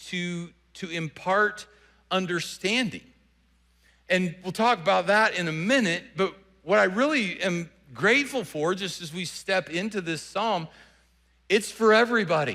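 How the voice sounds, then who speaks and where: A man's high, bright, sharp voice in a Southern US accent, raised and projected, fairly slow, with ordinary pitch variation. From US South. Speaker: pastor. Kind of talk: sermon. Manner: repetitive false starts.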